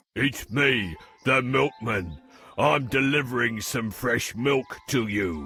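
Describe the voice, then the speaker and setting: Music plays in the background as a man does a cartoonish character voice at a medium pitch and a fairly slow pace. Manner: gentle, polite.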